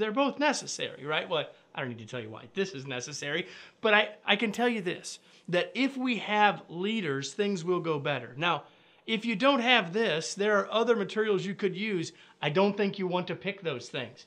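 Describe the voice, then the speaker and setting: A man speaks with a bright, sharp tone at a moderate pace. His pitch makes very wide swings. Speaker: leadership trainer. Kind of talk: direct-to-camera educational talk. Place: studio.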